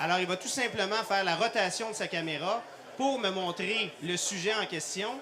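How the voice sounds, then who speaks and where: In a room with audible echo and noticeable background noise, a man raises and projects his high-pitched voice at a moderate pace with ordinary pitch variation. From Quebec. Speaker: cardiologist and intensive care doctor. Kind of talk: live product demonstration. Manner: many hesitations (euh).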